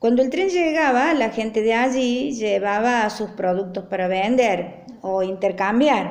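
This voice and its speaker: A woman with a fairly high pitch speaks at a very slow pace with lively intonation. There is noticeable background noise and audible room echo. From Argentina, Traslasierra (Córdoba). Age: 60s. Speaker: interviewee recounting rural memories. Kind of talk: personal recollection. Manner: frequent hesitations (eh).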